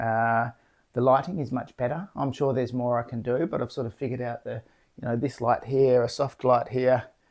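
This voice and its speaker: Mumbled speech with vocal fry at a fairly quick pace, on a very clean recording with a silent background. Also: man. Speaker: artist vlogger. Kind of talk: casual vlog monologue. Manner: mumbling, jumbly; fast.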